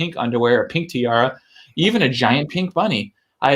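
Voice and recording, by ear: The background stays quiet while someone reads aloud in a natural voice.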